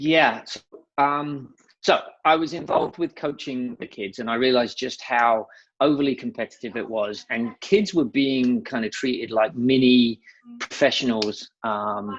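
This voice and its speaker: The speaker has an English accent and talks at a fairly slow pace. Pitch varies in an ordinary way. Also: man, medium pitch for a man. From England. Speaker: nonprofit founder. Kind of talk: interview. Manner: casual, with many fillers.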